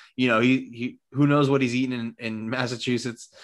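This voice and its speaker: This man speaks at a medium pitch. His pace is fairly quick. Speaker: podcast co-host. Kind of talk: casual chat. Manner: mumbly.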